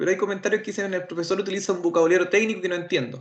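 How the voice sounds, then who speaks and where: At a very fast pace, a man with a high pitch and a Chilean accent talks with ordinary pitch variation. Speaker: automotive instructor. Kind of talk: lecture.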